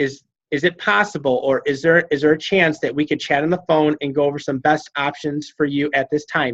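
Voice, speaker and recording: Fairly quick delivery with hardly any pauses and fairly even intonation, in a dry, close sound with no echo. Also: man, fairly high pitch for a man. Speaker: fitness coach team leader. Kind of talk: group coaching call. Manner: fast.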